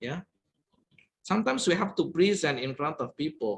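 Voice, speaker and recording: The speaker has an Indonesian accent and lively intonation. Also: man. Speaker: guest lecturer. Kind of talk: lecture.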